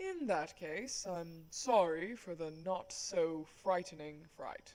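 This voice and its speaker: At a fairly slow pace, a put-on character voice holds a middle pitch. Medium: audio drama. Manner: polite, soft-spoken, dryly humorous.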